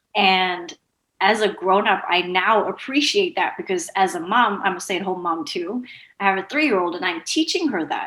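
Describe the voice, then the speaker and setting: Bright and sharp in tone, a woman speaks at a medium pitch and moderate pace with lively intonation. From Zimbabwe, Bulawayo. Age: 30s. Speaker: entrepreneur and coach. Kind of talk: interview.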